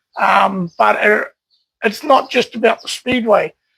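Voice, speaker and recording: A man with a New Zealand accent at a moderate pace. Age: 60s. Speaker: collector and speedway enthusiast. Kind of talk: casual interview. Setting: at his home. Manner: hesitant, many fillers.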